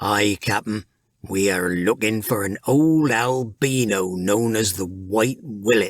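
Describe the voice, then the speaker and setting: On a very clean recording with a silent background, a man does a put-on character voice at a fairly low pitch and fairly slow pace. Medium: read story. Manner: gruff pirate speech.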